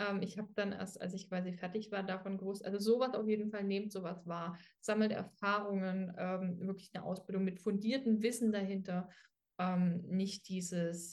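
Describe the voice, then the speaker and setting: Moderately paced and somewhat breathy, this woman's voice sits at a medium pitch. Her intonation stays monotone and flat. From Dresden, Saxony. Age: 20s. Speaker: dog trainer, former dog walker. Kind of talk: casual interview. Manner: hesitant, many fillers.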